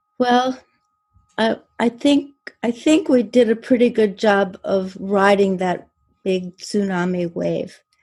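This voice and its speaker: A woman speaks very slowly in a fairly high, somewhat breathy voice. Long, frequent pauses break up her speech. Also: ordinary pitch variation. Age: 70s. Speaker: peace organization founder. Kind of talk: interview answer.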